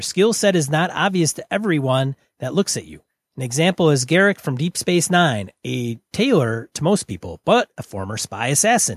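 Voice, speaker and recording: On a very clean recording with a silent background and a dry, close sound with no echo, a man speaks at a moderate pace and fairly high pitch, with very wide pitch swings and big swings in loudness. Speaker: tabletop RPG podcast co-host. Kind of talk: casual chat.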